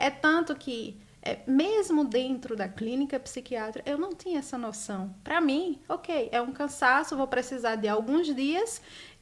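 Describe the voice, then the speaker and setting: High-pitched, a woman speaks at a fairly slow pace. She leaves hardly any pauses. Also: lively intonation. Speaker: author. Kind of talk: interview. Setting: live stream.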